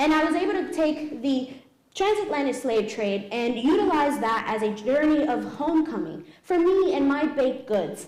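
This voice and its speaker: With an American accent, a woman speaks at a high pitch with very wide pitch swings, amid audible room echo and noticeable background noise. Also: moderate pace. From New York, the Bronx. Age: 30s. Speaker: pastry chef. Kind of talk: cooking demonstration.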